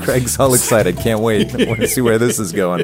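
Medium-pitched male voice with ordinary pitch variation and noticeable background noise. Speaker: podcast co-host.

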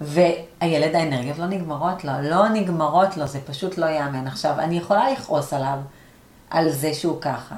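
Audible room echo surrounds a woman speaking at a moderate pace in a very deep, low pitch. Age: 40s. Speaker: coach and learning center owner. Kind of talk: interview conversation.

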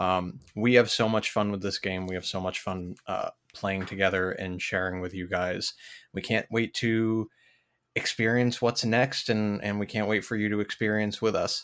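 In a very clean recording with a silent background, a man with a plain, everyday voice speaks at a moderate pace, fairly low in pitch and with fairly even intonation. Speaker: podcast host. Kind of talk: casual podcast update.

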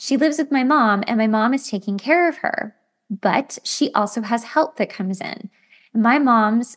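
A woman talks at a moderate pace in an ordinary speaking voice, her pitch varying in an ordinary way. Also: quiet background. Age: 40s. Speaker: podcast host, makeup artist. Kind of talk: solo self-help monologue. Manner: casual, conversational.

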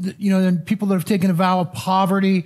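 A man with an American accent and high pitch, on a very clean recording with a silent background. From Missouri. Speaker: pastor. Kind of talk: sermon. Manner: halting, repeats words.

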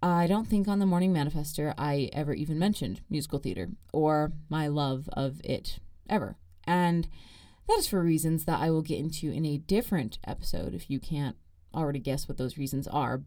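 Over a silent background in a very clean recording, a woman with an American accent talks at a fairly quick pace, her very deep, low voice dark and mellow in tone, with ordinary pitch variation. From Arizona, US. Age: 20s. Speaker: podcast host, student. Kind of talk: casual solo monologue. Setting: studio. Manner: animated.

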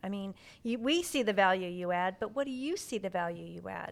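On a very clean recording with a silent background, a woman with an ordinary speaking voice talks at a fairly quick pace with lively intonation. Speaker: podcast host. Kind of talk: casual interview.

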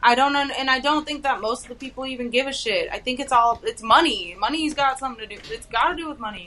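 A woman's high, raised, projected voice with an American accent, very fast with hardly any pauses, big swings in loudness, and noticeable background noise. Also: lively intonation. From Texas, Houston area. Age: 20s. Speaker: stand-up comedian. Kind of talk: casual chat.

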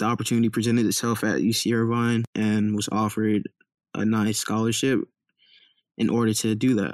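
A man with an American accent talks at a fairly quick pace in a medium pitch, his intonation monotone and flat, the sound dry and close with no echo. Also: very clean recording, silent background. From Compton, California. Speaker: college student. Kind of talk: interview.

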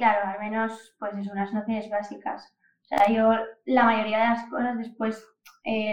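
A woman's fairly high-pitched voice, monotone and flat in intonation, at a moderate pace. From Asturias, Spain (Oviedo). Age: 20s. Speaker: data and AI professional. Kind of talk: casual interview.

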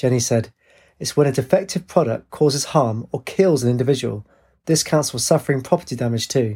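There is a natural reading voice, set against quiet surroundings.

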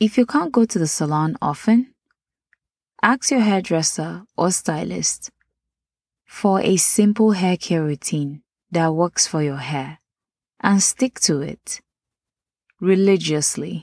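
A woman at a very slow pace with long, frequent pauses and lively intonation, on a very clean recording with a silent background. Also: fairly low pitch for a woman. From Nigeria. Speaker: podcast host. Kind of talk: scripted podcast narration.

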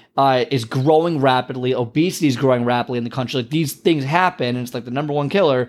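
With an animated tone and a medium-pitched voice, a man rattles along at a very fast pace with hardly any pauses and ordinary pitch variation. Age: 30s. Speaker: podcast host, health coach. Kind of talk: motivational monologue.

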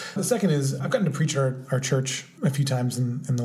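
Audible room echo surrounds a medium-pitched man talking at a very fast pace. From Orange County, California. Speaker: podcast co-host. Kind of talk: casual chat.

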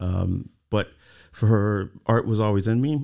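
A man speaks with an American accent and fairly even intonation, his tone dark and mellow. The recording is very clean, with a silent background. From US East Coast (Delaware), early childhood in California. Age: 30s. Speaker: artist and architectural designer. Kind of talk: interview conversation. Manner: halting, many fillers and repetitions.

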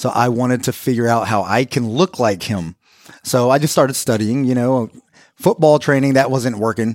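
A man with a normal speaking voice talks at a moderate pace and medium pitch, with ordinary pitch variation. The recording is very clean with a silent background, its sound dry and close with no echo. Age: 40s. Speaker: personal trainer. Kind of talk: casual interview. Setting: studio.

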